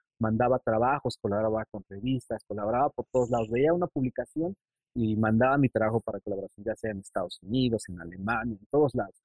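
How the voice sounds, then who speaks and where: A man talks at a very fast pace with a medium pitch and ordinary pitch variation. His loudness swings widely. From Mexico City, northern outskirts. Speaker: illustrator. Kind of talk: casual interview. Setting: video call.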